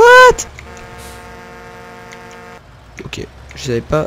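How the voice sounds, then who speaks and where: The voice swings very widely in pitch over noticeable background noise. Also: man. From Picardy, northern France. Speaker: gaming youtuber. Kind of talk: gameplay commentary. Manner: hesitant, many fillers and repetitions.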